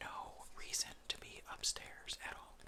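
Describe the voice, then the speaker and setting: Whispering over noticeable background noise. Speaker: ASMR creator. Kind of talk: casual storytime ramble. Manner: whispered.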